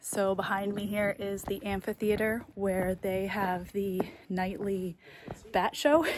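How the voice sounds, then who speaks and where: Noticeable background noise is present. The speaking pace is very slow. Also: woman, medium pitch for a woman. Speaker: travel vlogger. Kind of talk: casual vlog narration. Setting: outdoors then inside a cave. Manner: animated; whispering.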